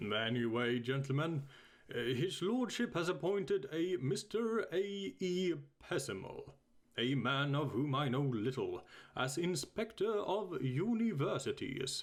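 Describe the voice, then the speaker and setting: Put-on character voice from a man, pitched high and delivered at a fairly slow pace. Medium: read story. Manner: bluff, commanding.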